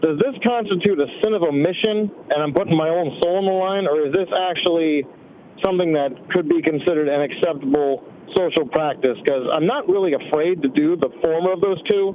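Noticeable background noise runs under this man's fairly quick speech. His voice is high-pitched with ordinary variation. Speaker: caller. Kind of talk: casual chat. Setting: phone call.

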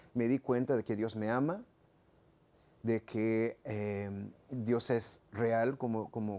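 Over a quiet background, a man talks at medium pitch in a dark, mellow tone. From South Texas, Rio Grande Valley; raised in Michigan. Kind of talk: interview. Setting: studio.

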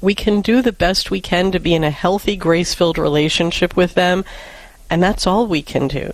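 A woman with an American accent speaks at a moderate pace and medium pitch. She has an unremarkable speaking voice, and her loudness stays very even. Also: ordinary pitch variation. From New York. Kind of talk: call-in advice show.

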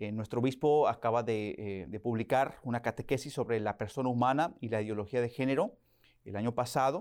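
Fairly quick speech from a man at a medium pitch, ordinary pitch variation, on a very clean recording with a silent background. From Oklahoma, US, to Mexican parents. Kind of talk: interview. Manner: hesitant, many fillers and repetitions.

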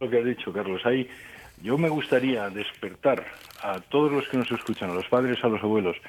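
Speaking fairly quickly, a man uses an ordinary speaking voice at a medium pitch with ordinary pitch variation. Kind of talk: radio interview.

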